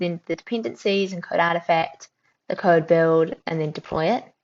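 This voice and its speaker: With ordinary pitch variation, a woman talks at a fairly low pitch. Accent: New Zealand. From New Zealand. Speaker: tech company founder, livestream host. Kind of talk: casual livestream chat. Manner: animated.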